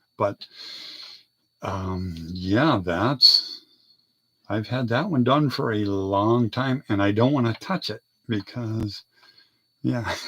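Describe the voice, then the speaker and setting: A man with a bright, sharp tone speaks at a very slow pace, using ordinary pitch variation and long, frequent pauses. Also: medium pitch for a man. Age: 50s. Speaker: model car hobbyist. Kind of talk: casual hobby video.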